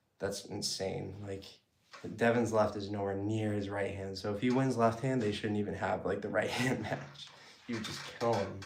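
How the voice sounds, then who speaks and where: There is audible room echo as a man with an American accent talks at a fairly low pitch, his intonation fairly even. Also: moderate pace. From Massachusetts, US. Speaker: arm wrestler and fitness YouTuber. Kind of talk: casual Q&A during training. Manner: casual, filler-heavy.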